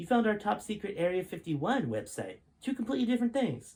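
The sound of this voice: Using a put-on character voice, a man talks at a fairly quick pace and a high pitch with big swings, his slightly mellow tone carrying a slightly husky edge.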